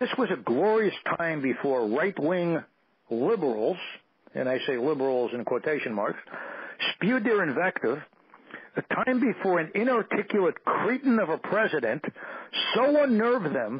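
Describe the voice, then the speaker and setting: A man's high-pitched voice at a moderate pace, with very wide pitch swings and long, frequent pauses. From New York. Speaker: radio show guest. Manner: reading aloud from his own written piece.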